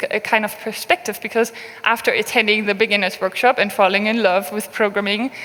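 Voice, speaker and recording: Over noticeable background noise, a woman with a fairly high pitch speaks at a moderate pace with fairly even intonation. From Berlin, Germany. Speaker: open source program manager. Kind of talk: conference talk.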